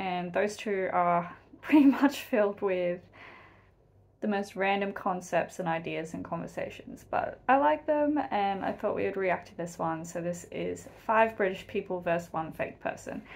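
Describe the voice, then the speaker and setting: A woman speaks with an Australian accent. Her intonation is lively. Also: medium pitch for a woman, moderate pace, big swings in loudness. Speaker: YouTube reaction video creator. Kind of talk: casual reaction commentary. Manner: animated. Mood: cheerful, chatty. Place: home room. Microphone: webcam.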